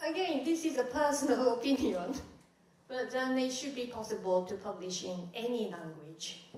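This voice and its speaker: A woman with a Japanese accent speaks at a moderate pace, her high pitch swinging very widely. Audible room echo and noticeable background noise surround her. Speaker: music professor, panelist. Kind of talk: panel discussion.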